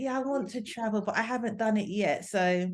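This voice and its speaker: A woman's fairly high voice in a London accent, with ordinary pitch variation over a quiet background. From London, England. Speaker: language assistant. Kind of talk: interview answer.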